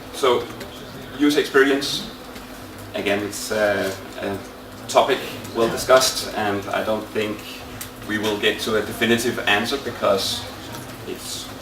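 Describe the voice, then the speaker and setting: A man with a Danish accent speaks at a medium pitch and a fairly slow pace, his intonation fairly even and his pauses long and frequent. Audible room echo and noticeable background noise fill the recording. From Denmark. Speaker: IT consultant, conference presenter. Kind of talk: conference talk. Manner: halting, many fillers.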